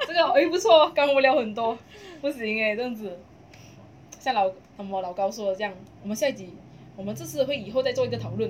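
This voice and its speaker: A woman with a Malaysian accent speaks at a very fast pace and a fairly high pitch, with lively intonation and an animated tone. Her loudness swings widely, and she takes long, frequent pauses. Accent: Malaysian Mandarin. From Malaysia, Kluang (Johor). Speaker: podcast co-host. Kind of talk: casual chat. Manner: animated, frequent laughter. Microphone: poor audio quality.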